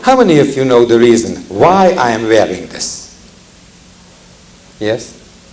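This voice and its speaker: In a room with audible echo and noticeable background noise, the speaker goes at a fairly slow pace with ordinary pitch variation. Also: man. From Hungary. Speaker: cantor and Holocaust survivor speaker. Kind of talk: public talk to audience. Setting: lecture hall with audience and microphones.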